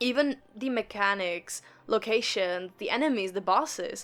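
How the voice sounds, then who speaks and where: Music plays in the background as a woman with a fairly high pitch speaks at a moderate pace with ordinary pitch variation. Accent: non-native. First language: not English. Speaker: gaming YouTuber. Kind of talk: casual commentary video. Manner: casual, rambling.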